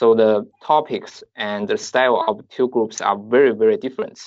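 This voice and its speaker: A man with a Chinese accent. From southeastern China. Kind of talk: interview.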